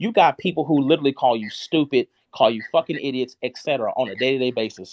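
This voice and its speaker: At a very fast pace, a man speaks in a fairly high voice. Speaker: live streamer. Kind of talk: heated rant. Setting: live stream. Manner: loud; animated.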